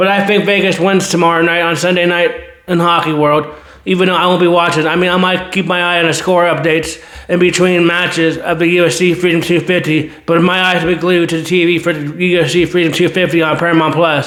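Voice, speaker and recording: A man's high-pitched voice at a very fast pace, monotone and flat, with very even loudness, audible room echo and noticeable background noise. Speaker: sports channel host. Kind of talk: casual sports commentary monologue. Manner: rambling, repetitive self-corrections.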